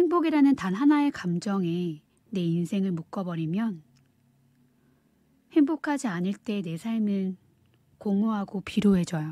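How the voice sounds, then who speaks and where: Very wide pitch swings in a dark, mellow, soothing tone, somewhat breathy, at a fairly slow pace with long, frequent pauses. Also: woman, medium pitch for a woman, very clean recording, silent background. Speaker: audiobook reader. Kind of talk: audiobook reading, ASMR-style soothing narration. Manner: soft-spoken, soothing.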